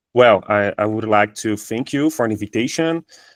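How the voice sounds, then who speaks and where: On a very clean recording with a silent background and a dry, close sound with no echo, a man of medium pitch speaks with a Brazilian Portuguese accent. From Brazil, Campo Grande. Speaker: university professor. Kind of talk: academic presentation. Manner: halting, many fillers.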